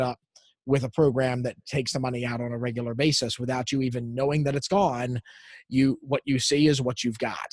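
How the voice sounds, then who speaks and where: Somewhat breathy, a man speaks at medium pitch with fairly even intonation. The sound is dry and close, with no echo. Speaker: lifestyle coach and small business owner. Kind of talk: casual podcast interview. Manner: relaxed.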